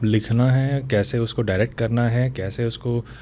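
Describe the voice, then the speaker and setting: With a coastal Karnataka accent, a man speaks in a fairly even intonation. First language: Tulu (speaking Hindi). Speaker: novelist and screenwriter. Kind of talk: interview conversation.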